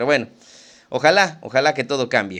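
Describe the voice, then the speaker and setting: A man's voice at medium pitch. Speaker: literature podcast host. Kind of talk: casual chat; reading aloud. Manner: fast.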